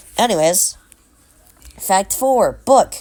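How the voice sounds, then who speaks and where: A woman's pitch swings very widely as music plays in the background. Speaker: YouTube commentator. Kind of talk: video commentary narration. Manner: casual, self-correcting.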